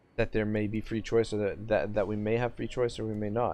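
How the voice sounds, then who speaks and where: His intonation monotone and flat, a man with a Canadian accent speaks at a fairly low pitch. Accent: Canadian, self-described as harsh. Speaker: gaming streamer. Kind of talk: live-streamed gameplay commentary with chat reading. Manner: casual, halting with many fillers.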